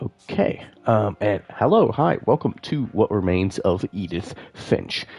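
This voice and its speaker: Music in the background beneath speech of ordinary pitch variation. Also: man. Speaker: gaming streamer. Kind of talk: live gameplay commentary. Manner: casual, hesitant with many fillers.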